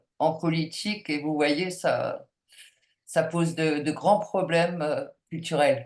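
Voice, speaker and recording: The delivery is very slow, with fairly even intonation throughout. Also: woman. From France. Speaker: anthropologist. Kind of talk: Q&A talk. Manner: hesitant, many fillers.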